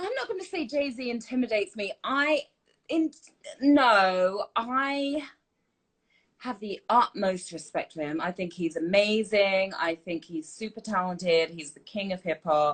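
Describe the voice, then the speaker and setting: In an English accent, a woman speaks at a fairly slow pace with very wide pitch swings. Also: fairly high pitch for a woman. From UK. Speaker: TV host. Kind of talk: live Q&A chat. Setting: live stream.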